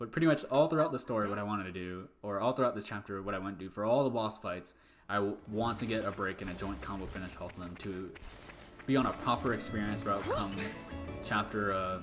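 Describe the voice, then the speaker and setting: The speech runs at a very fast pace with music in the background. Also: man, fairly low pitch for a man, ordinary pitch variation. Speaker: speedrunner streaming a game run. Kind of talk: live gameplay commentary. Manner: halting, stutters and restarts; casual, conversational.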